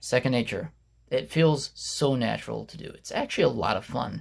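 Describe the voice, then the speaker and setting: In a very clean recording with a silent background, a man with fairly high pitch sounds somewhat breathy and uses lively intonation. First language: not English. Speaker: YouTuber and podcaster. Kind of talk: casual vlog monologue. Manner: conversational, with fillers.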